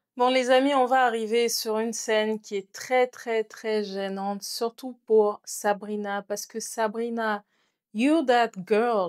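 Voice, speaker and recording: A woman speaks at a fairly slow pace in a very clean recording with a silent background and a dry, close sound with no echo. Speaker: content creator and podcast host. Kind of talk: casual chat. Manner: soft-spoken.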